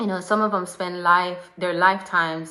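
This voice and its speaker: Audible room echo surrounds a woman with a fairly low pitch. Her delivery is monotone and flat at a moderate pace. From Jamaica. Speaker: life and fitness coach. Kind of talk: live video talk to followers.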